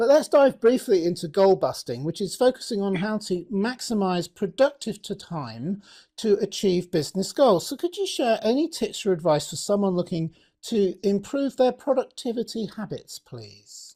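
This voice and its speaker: On a very clean recording with a silent background, a man speaks in a British accent with a dark, mellow tone. His pitch is high, his intonation lively and his pace moderate. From Britain. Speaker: podcast host. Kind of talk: interview.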